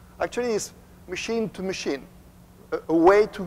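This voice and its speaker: A man speaks with a French accent at a fairly quick pace. His pitch varies in an ordinary way. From France. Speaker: company executive. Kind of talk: conference presentation.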